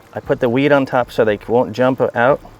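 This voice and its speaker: Fairly even intonation in an American accent, over noticeable background noise. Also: man. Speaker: fishing guide and outdoors video host. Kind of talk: outdoor fishing tutorial. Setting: outdoors by a canal.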